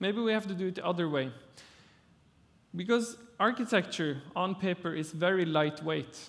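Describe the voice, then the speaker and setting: A man speaks in a high voice with ordinary pitch variation and a Norwegian accent against a quiet background. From Norway. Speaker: architect. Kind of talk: conference talk. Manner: halting.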